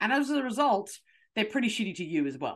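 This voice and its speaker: A woman's animated voice with an Australian accent, at a fairly quick pace with ordinary pitch variation, over a quiet background. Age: 30s. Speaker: podcast host and confidence coach. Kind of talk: solo podcast rant.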